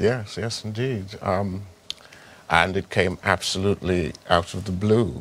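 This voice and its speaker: Over noticeable background noise, a man talks at a fairly low pitch with ordinary pitch variation. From Trinidad. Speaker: actor. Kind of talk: interview answer.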